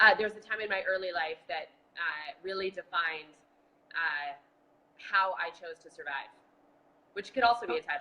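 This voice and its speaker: A woman with an American accent speaks at a medium pitch and a moderate pace, with ordinary pitch variation and long, frequent pauses. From Boston. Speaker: marathon bombing survivor and advocate. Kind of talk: casual chat. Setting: video call.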